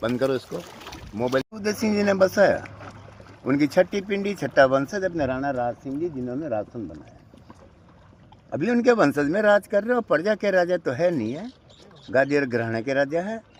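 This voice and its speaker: Noticeable background noise sits behind a man whose fairly high voice swings very widely in pitch, broken by long, frequent pauses. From Rajsamand, Rajasthan (Mewar). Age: 70s. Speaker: local guide. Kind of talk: informal guided tour talk.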